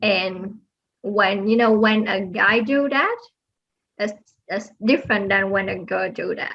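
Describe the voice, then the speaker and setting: Fairly slow, non-native accented speech with long, frequent pauses and fairly even intonation. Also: woman, medium pitch for a woman. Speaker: aerospace engineer. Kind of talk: interview. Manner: soft-spoken; halting.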